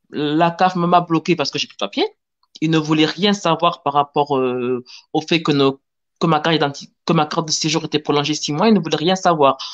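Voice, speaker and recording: With a southern French accent, a woman talks in a very deep, low pitch and ordinary pitch variation, the sound dry and close with no echo. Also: moderate pace. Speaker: panel guest sharing immigration experience. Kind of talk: testimony.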